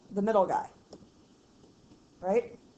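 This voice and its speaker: A woman with a fairly high voice speaks with fairly even intonation over noticeable background noise. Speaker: math teacher. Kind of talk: tutorial. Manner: casual, chatty.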